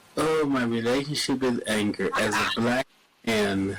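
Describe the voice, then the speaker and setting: A man at a medium pitch, very slow pace and ordinary pitch variation, over noticeable background noise. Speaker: podcast guest, community advocate. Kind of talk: interview conversation. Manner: gentle, quiet; halting.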